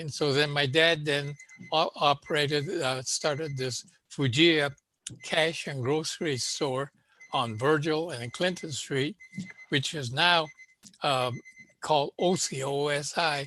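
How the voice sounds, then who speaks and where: An American-accented man with a fairly high pitch and bright, sharp tone, fairly slow with long, frequent pauses and fairly even intonation. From Los Angeles, East Hollywood. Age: 90s. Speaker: Japanese-American elder, panelist. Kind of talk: oral history testimony. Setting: video call. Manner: halting, many fillers.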